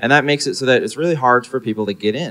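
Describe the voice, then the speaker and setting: Against a quiet background, a man is speaking. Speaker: presenter. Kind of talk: conference talk for young audience. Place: hall. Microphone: handheld.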